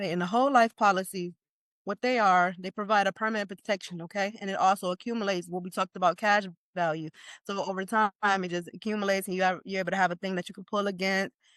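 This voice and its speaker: A woman with a slight Jamaican accent speaks at a very fast pace in a medium pitch, her intonation fairly even, with a dry, close sound, no echo and a quiet background. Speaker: life insurance expert. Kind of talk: informal masterclass presentation. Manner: casual, conversational.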